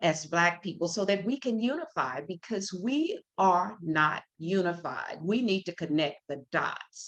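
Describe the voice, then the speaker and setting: A woman with an American accent speaks at a medium pitch and a very slow pace, her intonation lively. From US South. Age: 70s. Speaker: radio host, motivational speaker. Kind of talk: live talk show monologue. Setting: live stream on video call.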